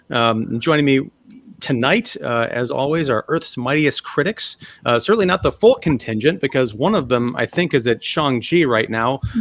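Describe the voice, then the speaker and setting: This man talks at a moderate pace with a medium pitch, lively intonation and a Chicago accent. The sound is dry and close, with no echo. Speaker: podcast host. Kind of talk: casual chat.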